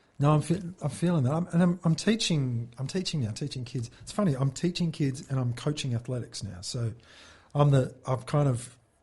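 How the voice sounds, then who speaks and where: Over a quiet background, a man with an Australian accent talks at a fairly quick pace, his fairly high, somewhat breathy voice carrying a dark, mellow tone and lively intonation. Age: 40s. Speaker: former Olympic sprinter turned musician. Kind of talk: casual chat.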